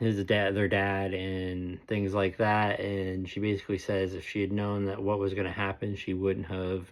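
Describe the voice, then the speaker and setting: The recording is very clean with a silent background. The speaker uses a normal speaking voice at a moderate pace. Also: man. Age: 20s. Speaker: YouTube TV reviewer. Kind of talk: casual review monologue. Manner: casual, many filler words.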